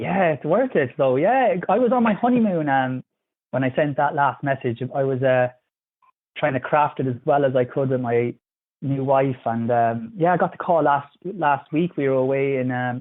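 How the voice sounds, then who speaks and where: A man speaks with an Irish accent. His pitch is fairly high, with ordinary pitch variation. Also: moderate pace. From Ireland, Kilkenny. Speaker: physiotherapist. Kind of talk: casual chat. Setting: phone call.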